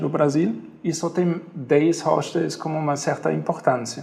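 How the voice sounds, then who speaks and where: Speaking at a fairly slow pace, a man talks with a German accent. His pitch is fairly high and varies in an ordinary way. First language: German (speaking Portuguese). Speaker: hostel owner. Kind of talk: interview. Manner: halting, with fillers.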